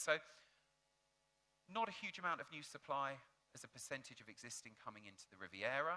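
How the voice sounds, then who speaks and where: This man has a British accent. He speaks at a moderate pace. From United Kingdom. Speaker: hotel industry data analyst. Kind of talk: conference presentation.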